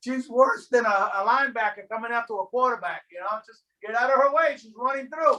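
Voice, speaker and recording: This man's voice is raised and projected, extremely high in pitch, with a bright, sharp tone and ordinary pitch variation. He sounds animated and moves at a fairly quick pace. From Miami, Florida (Hialeah). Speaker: deacon leading a faith formation class. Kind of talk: class discussion on a video call. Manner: animated, repeats words often.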